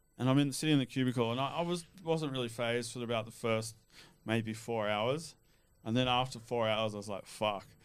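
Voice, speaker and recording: A man talks at a fairly quick pace in an Australian accent. His pitch varies in an ordinary way. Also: medium pitch for a man. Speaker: cannabis activist. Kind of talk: casual chat.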